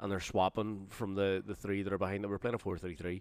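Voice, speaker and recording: A man with a Northern Irish accent speaks at a fairly quick pace in a fairly low voice, on a very clean recording with a silent background. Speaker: football podcast co-host. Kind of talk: casual chat.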